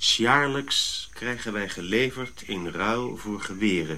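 Putting on a character voice, a man speaks slowly in a fairly low pitch with a bright, sharp tone and lively intonation.

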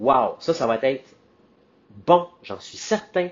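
With a Quebec accent, a man speaks at a very slow pace with lively intonation. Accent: Québécois French. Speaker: podcast host. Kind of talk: casual solo monologue. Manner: animated.

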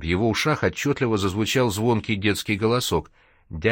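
Simple reading out loud with normal rises and falls in pitch

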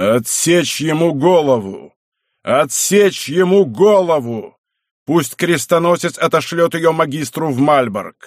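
A man's put-on character voice, fairly high in pitch, with lively intonation, a fairly slow pace and very even loudness. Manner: commanding, shouting orders.

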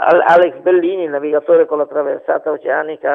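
With vocal fry and fairly even intonation, a man speaks at a fairly high pitch.

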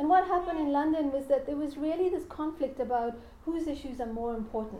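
A woman's high voice with ordinary pitch variation, at a fairly quick pace, with audible room echo. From South Africa. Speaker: academic lecturer. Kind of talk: lecture.

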